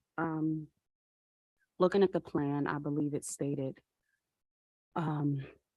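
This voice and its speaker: A soft-spoken woman talks fairly slowly in a very deep, low voice with a dark, mellow tone. Her intonation is fairly even, and the sound is dry and close with no echo. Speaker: school board member. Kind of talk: meeting question.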